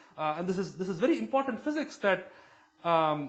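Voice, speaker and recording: A man's voice moves through very wide pitch swings. Room echo is audible. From southern India. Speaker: chemistry professor. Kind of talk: lecture. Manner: fast; halting, many fillers.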